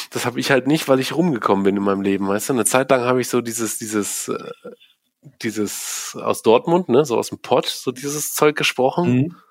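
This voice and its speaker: The man talks at a fairly quick pace. His medium-pitched voice has ordinary pitch variation. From Aachen, western Germany. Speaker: old school friend. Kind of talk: casual chat.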